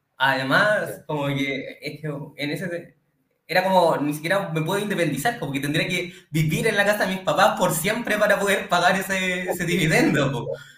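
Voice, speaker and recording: A man with a high pitch talks at a moderate pace with ordinary pitch variation, and audible room echo surrounds his voice. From Chile, Santiago. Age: 20s. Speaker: electrical engineer, client testimonial. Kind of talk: testimony.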